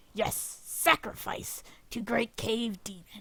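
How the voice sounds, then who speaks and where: A raspy, put-on character voice. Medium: actual play. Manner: broken, clipped phrasing.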